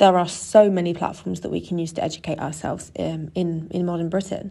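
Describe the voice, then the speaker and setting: Against a quiet background, the speaker uses a southern English accent, talking at a very fast pace with fairly even intonation and a dark, mellow tone. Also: woman. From England, Suffolk. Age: 20s. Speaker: podcast host, youth tutor. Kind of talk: scripted podcast introduction.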